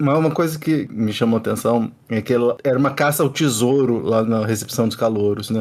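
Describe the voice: A man with a Brazilian accent speaks at a fairly quick pace and medium pitch with hardly any pauses, very even loudness and ordinary pitch variation.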